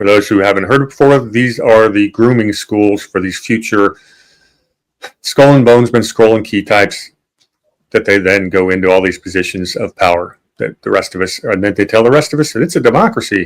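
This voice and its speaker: At a fairly quick pace, a man with a plain, everyday voice speaks at a medium pitch with ordinary pitch variation. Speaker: podcast host. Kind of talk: casual discussion podcast.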